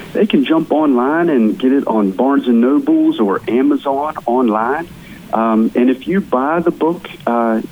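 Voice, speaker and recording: With an American accent, a man talks at a medium pitch and a fairly slow pace, with ordinary pitch variation and noticeable background noise. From West Virginia, small town. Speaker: author and real estate entrepreneur. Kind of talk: interview.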